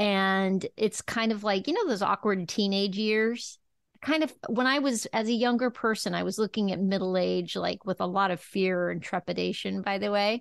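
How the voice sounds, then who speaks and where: With an unremarkable speaking voice, a woman speaks at a medium pitch and moderate pace with ordinary pitch variation and hardly any pauses, in a dry, close sound with no echo against a quiet background. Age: 50s. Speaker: podcast host. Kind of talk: casual interview chat.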